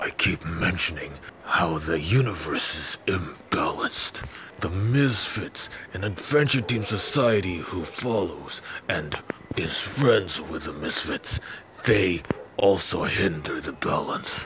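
Against clear background noise, a man with a very deep, low voice speaks fairly slowly with lively intonation. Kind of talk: fan dub villain monologue. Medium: fan dub. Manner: bitter, self-righteous, indignant.

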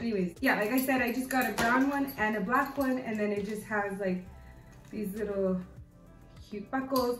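A woman speaks with ordinary pitch variation over clear music in the background. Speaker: fashion vlogger. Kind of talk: casual vlog chat. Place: home room. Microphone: camera far.

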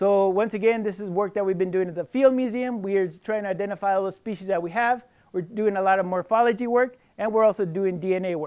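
A high-pitched man with an American accent, very fast and with hardly any pauses, fairly even in intonation, against a quiet background. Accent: Mexican American English. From southern New Mexico, US. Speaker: biologist; guest. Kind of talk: lecture. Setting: stage with audience. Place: hall.

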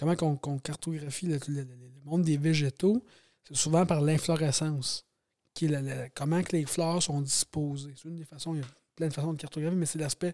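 Recorded very cleanly against a silent background, the sound is dry and close with no echo. A man speaks at a fairly quick pace, his fairly high pitch paired with a dark, mellow tone. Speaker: farmer. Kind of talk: casual chat. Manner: fast.

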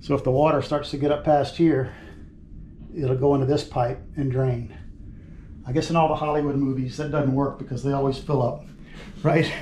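In a dark, mellow tone, a somewhat breathy man speaks at a moderate pace with monotone, flat intonation and long, frequent pauses, over light background noise and audible room echo. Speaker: remodeling contractor. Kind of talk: tutorial. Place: bathroom.

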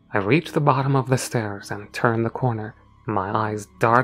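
A natural voice reading aloud.

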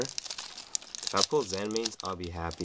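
Loud background noise surrounds the speaker. He is a man with a very deep, low pitch. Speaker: card game youtuber. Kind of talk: unboxing commentary. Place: home room. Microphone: webcam.

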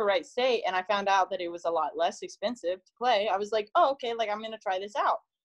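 A woman speaks at a fairly quick pace in a normal speaking voice. Her intonation is lively, and the background is quiet. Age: 30s. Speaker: podcast guest. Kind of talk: casual chat. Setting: video call. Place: home room. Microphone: phone near.

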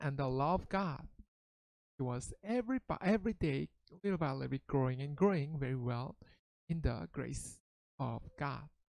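A woman's voice with very wide pitch swings, set against a quiet background. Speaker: pastor. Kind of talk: children's Bible story sermon. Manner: slow, simple English for children.

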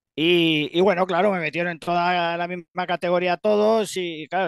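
A man with a high-pitched voice talks over a quiet background, the sound dry with no echo. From Spain, Castilla-La Mancha (Ciudad Real); Castilla-La Mancha, Spain. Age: 50s. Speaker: retired bodybuilding champion; interviewee. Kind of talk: interview. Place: home room. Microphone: headset.

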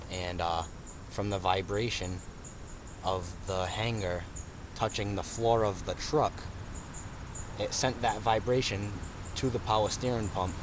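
Speaking at a fairly slow pace and a fairly low pitch, a man comes through with a dry sound with no echo and noticeable background noise. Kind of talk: casual vlog chat. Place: garden. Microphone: phone near.

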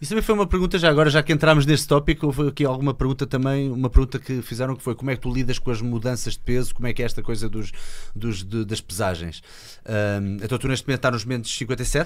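A man talking very fast with lively intonation against a quiet background. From Portugal. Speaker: podcast host. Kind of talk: interview questions, casual conversation. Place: studio. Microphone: studio mic.

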